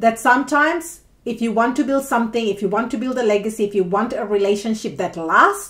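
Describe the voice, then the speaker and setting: Against a quiet background, a woman talks in a fairly high pitch with ordinary pitch variation. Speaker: tarot reader. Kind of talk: tarot reading monologue. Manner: animated. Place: home room. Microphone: phone near.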